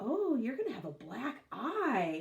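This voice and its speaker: A put-on character voice, female-sounding and high in pitch, with very wide pitch swings at a fairly slow pace. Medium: read story.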